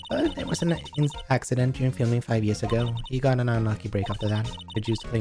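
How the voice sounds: Just a natural reading voice, nothing more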